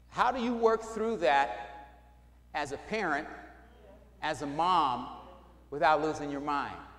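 The speech moves at a very slow pace with ordinary pitch variation. Audible room echo surrounds it. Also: man. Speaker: pastor. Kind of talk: sermon. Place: church.

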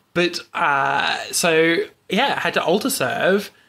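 Loud and with a bright, sharp tone, a man speaks with an Australian accent. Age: 20s. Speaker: podcast host, guest. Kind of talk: casual chat. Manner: loud laugh.

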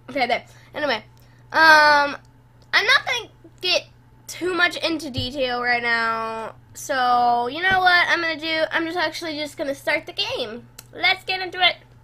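At a moderate pace, a woman speaks in a raised, projected voice. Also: lively intonation. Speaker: gaming channel host. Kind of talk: casual gameplay commentary.

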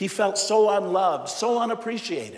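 The pace is moderate. Room echo is audible. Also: man. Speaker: priest giving homily. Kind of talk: sermon; in the tearful stretch, a hushed, solemn retelling of a father's grief. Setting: church. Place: church. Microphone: lapel.

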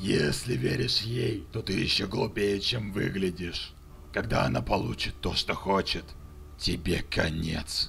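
A man puts on a character voice at a fairly low pitch. His pace is moderate, with clear background noise. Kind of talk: video game fan dub. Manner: menacing, sarcastic, condescending.

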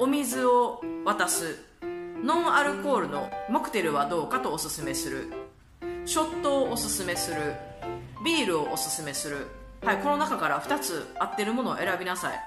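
A woman talks at a moderate pace while clear music sounds behind her. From Kansai, Japan. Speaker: vlogger. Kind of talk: casual talk to camera. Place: home room. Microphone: phone near.

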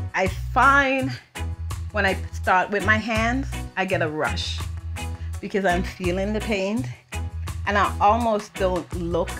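A woman speaks at a fairly slow pace with long, frequent pauses. Clear music plays in the background. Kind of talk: interview answer. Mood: warm, reflective, animated. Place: workshop.

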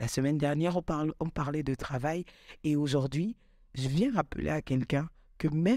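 Against a quiet background and in a dry sound with no echo, a woman talks with a very deep, low pitch, a dark, mellow tone and ordinary pitch variation. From Gabon. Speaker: content creator. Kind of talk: motivational vlog monologue. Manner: animated. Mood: passionate, cheerful. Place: studio. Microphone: studio mic.

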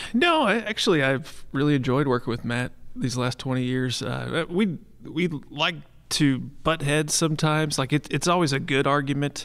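In an ordinary speaking voice, a man with a fairly high pitch talks at a moderate pace with ordinary pitch variation, on a very clean recording with a silent background. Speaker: pool service manager. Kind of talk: live podcast interview. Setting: stage with audience.

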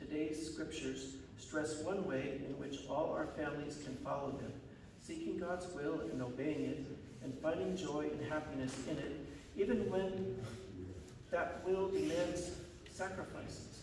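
At a fairly slow pace, a man speaks with ordinary pitch variation amid audible room echo and noticeable background noise. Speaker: church minister. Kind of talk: liturgical introduction read aloud. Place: church.

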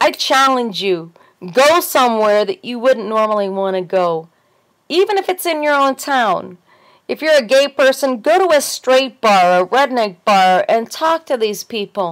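A woman with an American accent speaks at a high pitch with very wide pitch swings. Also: fairly slow pace, quiet background. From US. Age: 40s. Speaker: video blogger with fibromyalgia. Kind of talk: casual monologue vlog. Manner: animated. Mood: earnest, opinionated. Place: home room. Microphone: webcam.

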